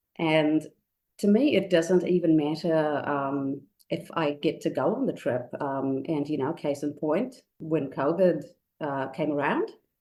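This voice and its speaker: This woman has a very deep, low pitch and a dark, mellow tone. She talks at a fairly slow pace with ordinary pitch variation. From India. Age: 40s. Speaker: pilgrim preparing for first Camino. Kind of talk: podcast interview.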